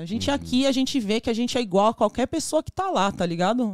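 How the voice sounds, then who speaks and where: A woman talks at a fairly quick pace in a normal speaking voice with lively intonation. The sound is dry and close, with no echo. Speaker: ice pop business owner. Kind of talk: casual chat.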